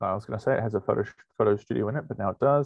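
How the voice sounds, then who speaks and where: In a Welsh accent, a man speaks over a quiet background, the sound dry with no echo. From Wales. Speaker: university lecturer. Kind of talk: online presentation.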